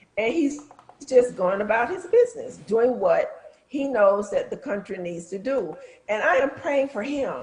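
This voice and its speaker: A woman speaks at a high pitch with lively intonation and a moderate pace. Noticeable background noise sits behind her. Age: 60s. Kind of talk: talk show discussion.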